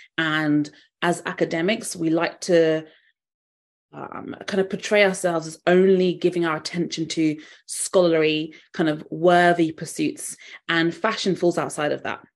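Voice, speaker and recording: Against a quiet background, a woman with a southern English accent speaks fairly slowly in a monotone, flat intonation at a fairly low pitch. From England. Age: 30s. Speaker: fashion psychologist. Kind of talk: interview.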